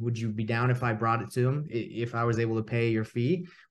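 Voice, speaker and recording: Somewhat breathy, this voice moves along at a fairly quick pace. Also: man. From US South, Atlanta, Georgia. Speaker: real estate investor and coach. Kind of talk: casual interview chat.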